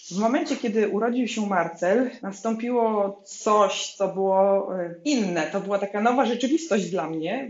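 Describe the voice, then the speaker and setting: Noticeable background noise runs behind a woman of medium pitch. She speaks at a moderate pace with ordinary pitch variation. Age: 40s. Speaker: business founder. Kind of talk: interview.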